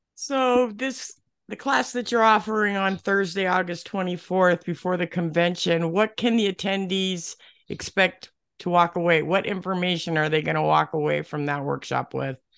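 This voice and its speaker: A woman talks at a moderate pace in an ordinary speaking voice, medium in pitch with ordinary variation. The background is quiet. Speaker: podcast co-host. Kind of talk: scripted podcast hosting.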